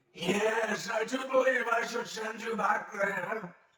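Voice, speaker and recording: A man's raised, projected character voice, raspy and high-pitched, at a fairly slow pace with monotone, flat intonation and a clear echo. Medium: audio drama. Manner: imperious, mocking.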